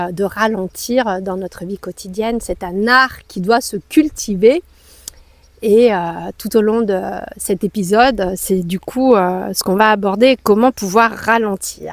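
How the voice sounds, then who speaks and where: A woman's very slow delivery, with ordinary pitch variation and a dry, close sound with no echo. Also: medium pitch for a woman. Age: 40s. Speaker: yoga teacher. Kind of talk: podcast conversation. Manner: hesitant, many fillers.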